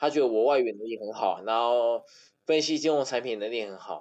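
Against a quiet background, a man talks fairly quickly in a normal speaking voice at medium pitch with ordinary pitch variation. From Taiwan, Taipei. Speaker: podcast guest. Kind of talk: casual chat.

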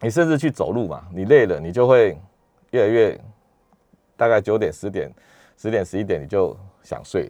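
A man with a dark, mellow tone and medium pitch speaks at a moderate pace, using lively intonation, big swings in loudness, and long, frequent pauses. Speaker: neurologist. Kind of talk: radio health interview. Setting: radio studio. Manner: hesitant, many fillers.

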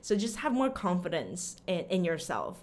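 With an American accent, a woman speaks at a moderate pace in a medium pitch with lively intonation, and the room echo is audible. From Austin, Texas (after early childhood in Taiwan). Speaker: language teacher. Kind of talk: interview.

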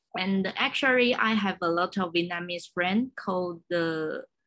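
A woman speaks with a Chinese accent. Her pitch varies in an ordinary way. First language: Mandarin Chinese. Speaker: podcast host. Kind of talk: interview. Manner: halting.

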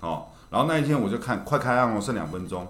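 A man with a Taiwanese accent talks at a fairly quick pace, his pitch swinging very widely, with audible room echo. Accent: Taiwanese Mandarin. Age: 50s. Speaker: shopping channel presenter. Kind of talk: casual chat.

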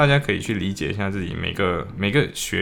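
Over noticeable background noise, a man with a very deep, low voice speaks with lively intonation. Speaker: law student podcaster. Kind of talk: casual solo diary podcast.

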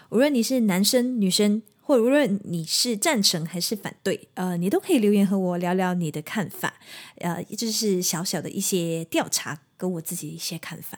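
A woman with a normal speaking voice talks at a moderate pace and medium pitch, using lively intonation, big swings in loudness and hardly any pauses, on a very clean recording with a silent background. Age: 30s. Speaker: singer and podcast host. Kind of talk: solo podcast monologue. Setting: at home.

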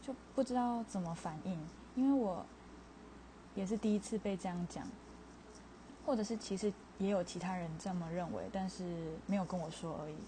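At a moderate pace, a woman speaks in a somewhat breathy, dark, mellow tone with long, frequent pauses. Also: medium pitch for a woman, ordinary pitch variation. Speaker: podcaster. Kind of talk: casual monologue.

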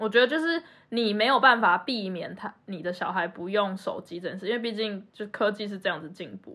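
Talking at a fairly quick pace with hardly any pauses, a woman has a plain, everyday voice at a medium pitch. Her intonation is lively, and her loudness swings widely. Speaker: podcast co-host. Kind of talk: casual chat.

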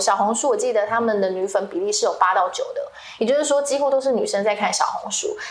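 Noticeable background noise and audible room echo surround the woman as she talks. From Taiwan, Kaohsiung. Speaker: social media creator and entrepreneur. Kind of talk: interview.

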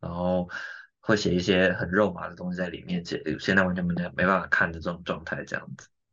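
A man's low-pitched voice, bright and sharp in tone, with vocal fry and a slightly husky edge.

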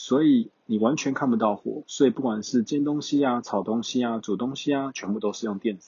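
A man talks at a fairly quick pace with hardly any pauses and ordinary pitch variation. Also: medium pitch for a man, big swings in loudness. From Taiwan. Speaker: exchange student vlogger. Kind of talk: casual solo talk.

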